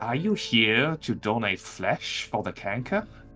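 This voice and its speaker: In a put-on character voice, a man speaks at a medium pitch and a fairly slow pace, with a hissing sound. Clear music plays in the background. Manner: sinister, menacing.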